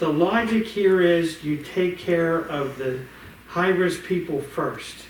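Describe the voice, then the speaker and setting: Speaking very slowly, a man with a high pitch and ordinary pitch variation is heard with audible room echo and noticeable background noise. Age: 60s. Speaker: bank executive. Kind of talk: casual chat. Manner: animated.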